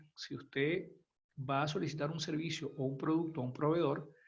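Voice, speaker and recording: A man talks at a moderate pace in a fairly high pitch. His delivery is somewhat breathy, with monotone, flat intonation. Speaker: functional safety consultant. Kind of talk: webinar presentation. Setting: online webinar. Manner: quiet.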